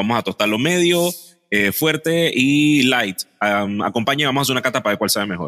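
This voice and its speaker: His voice sits at a medium pitch, with a bright, sharp tone. The man speaks at a fairly quick pace with lively intonation. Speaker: podcast co-host. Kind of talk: casual chat. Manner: radio announcer style intro.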